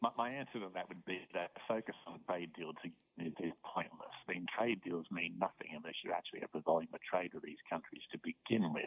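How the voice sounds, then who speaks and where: With an Australian accent, a man with a very deep, low pitch talks at a fairly quick pace with ordinary pitch variation. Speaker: professor. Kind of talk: interview. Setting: phone call.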